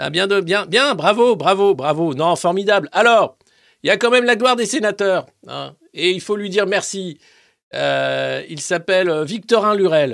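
Pitch varies in an ordinary way. Delivery is fairly slow. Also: man, very clean recording, silent background. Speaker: satirical press review host. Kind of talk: comedic live press review. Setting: YouTube live stream. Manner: animated.

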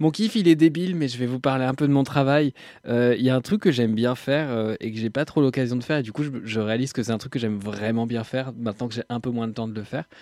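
The voice has a dark, mellow tone, ordinary pitch variation and a very fast pace. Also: man, medium pitch for a man. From Normandy, France. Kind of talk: casual chat.

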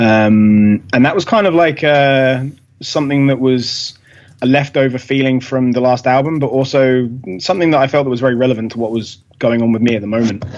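At a fairly quick pace, a man with a plain, everyday voice speaks at medium pitch, with ordinary pitch variation and very even loudness. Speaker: metal musician. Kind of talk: casual interview chat.

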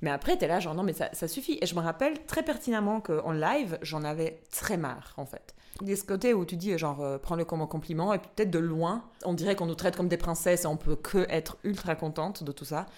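Talking at a fairly quick pace with hardly any pauses, a woman uses an ordinary speaking voice, fairly low in pitch with ordinary pitch variation. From Albania. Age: 30s. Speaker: podcast host. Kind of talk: casual chat. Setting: studio.

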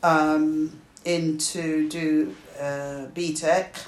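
Her voice is fairly low in pitch, and this woman speaks with a British accent. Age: 60s. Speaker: retired teacher. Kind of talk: family interview, life story.

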